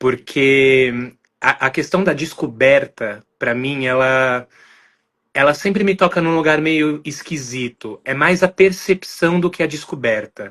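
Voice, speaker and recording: Over a quiet background, a man speaks at a very slow pace with a fairly high pitch and ordinary pitch variation. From Brazil, São Paulo. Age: 20s. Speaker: podcast guest. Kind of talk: interview conversation, personal testimony.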